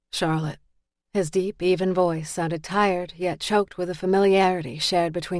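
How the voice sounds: Against a quiet background, the speaker uses a natural reading voice with fairly even intonation.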